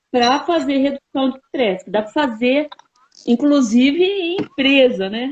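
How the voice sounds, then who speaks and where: Recorded dry and close with no echo, a woman talks at a high pitch with ordinary pitch variation. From Brazil, São Paulo. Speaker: university professor and researcher. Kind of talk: interview.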